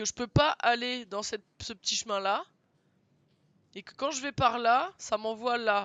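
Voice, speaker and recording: This man's voice is extremely high in pitch, with lively intonation. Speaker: video game streamer. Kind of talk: live gaming stream commentary. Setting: live stream with webcam.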